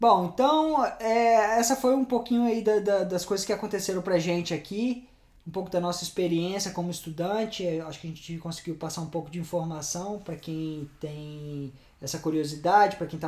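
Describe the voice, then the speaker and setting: Pitched high, a man's voice rises and falls with ordinary variation. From Brazil. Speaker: podcast host. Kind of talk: casual chat. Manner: halting.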